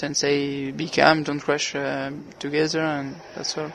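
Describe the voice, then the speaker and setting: Speaking fairly slowly with a French accent, a man holds a fairly high pitch and monotone, flat intonation. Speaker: racing driver. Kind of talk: interview. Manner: halting.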